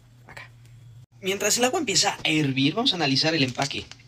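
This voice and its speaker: An animated man's voice against noticeable background noise. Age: young. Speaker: podcast co-host. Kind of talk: food challenge demonstration.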